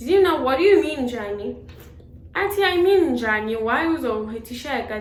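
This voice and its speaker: With a South African accent, a woman speaks with lively intonation amid noticeable background noise and audible room echo. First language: Xhosa. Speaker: beauty vlogger. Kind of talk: casual storytelling while doing makeup. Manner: loud; code-switching between English and Xhosa.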